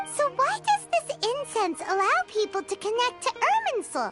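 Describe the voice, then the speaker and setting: A squeaky, put-on character voice at an extremely high pitch plays over loud music in the background. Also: moderate pace. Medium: machinima. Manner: eager, bubbly.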